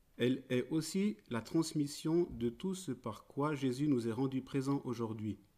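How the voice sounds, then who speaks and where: A man with a Swiss accent, dark and mellow in tone, medium in pitch, at a fairly slow pace with ordinary pitch variation and hardly any pauses. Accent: Swiss-tinged French. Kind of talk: prepared talk read aloud. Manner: formal.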